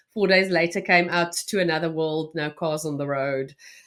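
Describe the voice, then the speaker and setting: At a moderate pace, a woman speaks with a fairly low pitch. Her recording is very clean, with a silent background. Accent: South African. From South Africa, North West province small town. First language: Afrikaans. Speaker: journalist and podcaster. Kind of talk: interview conversation.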